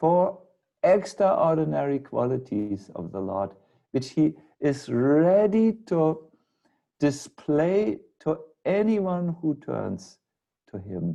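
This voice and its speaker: In a German accent and a dark, mellow tone, a man talks at a very slow pace with very wide pitch swings and long, frequent pauses. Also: fairly high pitch for a man. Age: 60s. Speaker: spiritual teacher. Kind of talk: lecture. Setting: video call.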